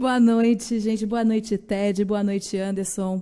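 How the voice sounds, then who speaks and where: A woman's dark, mellow tone in a Rio de Janeiro accent, at a fairly slow pace with fairly even intonation. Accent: carioca accent, noticeable. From Rio de Janeiro, Brazil. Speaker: journalist. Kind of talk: radio interview.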